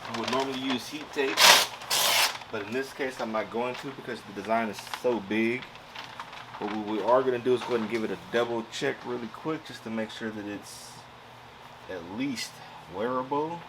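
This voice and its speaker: A man speaking at a moderate pace with long, frequent pauses over noticeable background noise. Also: medium pitch for a man, ordinary pitch variation. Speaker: crafting YouTuber. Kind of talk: tutorial. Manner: loud; casual.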